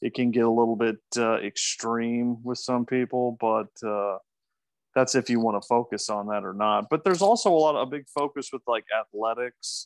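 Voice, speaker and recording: With a Midwestern American accent, the speaker moves at a moderate pace with ordinary pitch variation, heard in a dry, close sound with no echo over a quiet background. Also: man, medium pitch for a man. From US Midwest, Omaha, Nebraska. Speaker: native English speaker guest tutor. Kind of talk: casual Q&A in an online English class.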